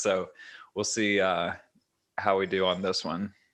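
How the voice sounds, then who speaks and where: At a moderate pace, a man talks in a fairly low pitch. His intonation is monotone and flat, and the background is quiet. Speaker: podcast host. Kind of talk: casual chat. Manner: even, level pitch. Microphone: new webcam microphone.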